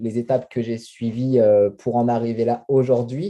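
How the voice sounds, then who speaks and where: The man's moderate pace pairs with a medium pitch. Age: 30s. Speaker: network marketing distributor. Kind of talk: interview. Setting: video call. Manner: halting, many hesitations.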